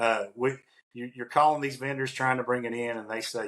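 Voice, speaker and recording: A man's bright, sharp voice at a moderate pace, with fairly even intonation over a quiet background. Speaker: podcast co-host, industrial maintenance consultant; podcast co-host. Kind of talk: casual conversational podcast. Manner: many fillers and restarts. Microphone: video call.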